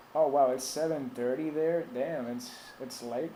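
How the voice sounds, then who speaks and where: The man talks fairly slowly. There's audible echo from the room. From Puerto Rico. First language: Spanish. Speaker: tech support streamer. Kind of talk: live stream tech support chat. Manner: casual, hesitant with fillers.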